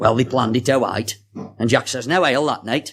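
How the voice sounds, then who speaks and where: Talking fairly quickly in a Staffordshire accent, a man keeps a medium pitch with ordinary pitch variation. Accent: Stoke-on-Trent (Potteries). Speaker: storyteller and author. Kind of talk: reading aloud a dialect story.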